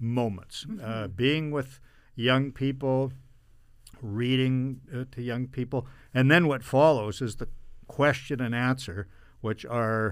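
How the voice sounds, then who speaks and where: Over a silent background in a very clean recording, a man with a Canadian Prairie accent speaks at a very slow pace and medium pitch. He uses ordinary pitch variation and takes long, frequent pauses. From Canada, Brandon, Manitoba. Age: 60s. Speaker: mayor. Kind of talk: interview. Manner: halting, many fillers.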